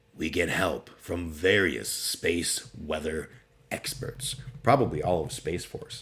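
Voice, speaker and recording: A man speaks very slowly in a very deep, low pitch. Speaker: streamer. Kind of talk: casual talk to camera.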